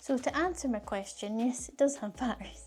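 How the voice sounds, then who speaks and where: A woman speaks with a Scottish accent in a high pitch. Her tone is dark and mellow, with ordinary pitch variation. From Scotland. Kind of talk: casual unboxing talk to camera.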